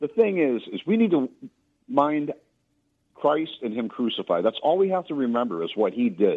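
The speaker talks at a moderate pace, with long, frequent pauses. The pitch swings very widely. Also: man, fairly high pitch for a man. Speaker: caller. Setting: phone call.

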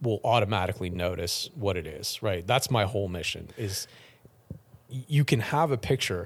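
A man's somewhat breathy voice at a moderate pace, fairly low in pitch with lively intonation, on a very clean recording with a silent background. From city, not rural. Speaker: rodeo photographer. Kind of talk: interview. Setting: hotel lobby.

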